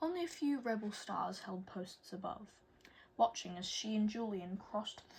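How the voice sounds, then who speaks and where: A somewhat breathy voice belongs to a woman. She keeps a moderate pace. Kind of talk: audiobook chapter reading. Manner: occasionally stumbles over words.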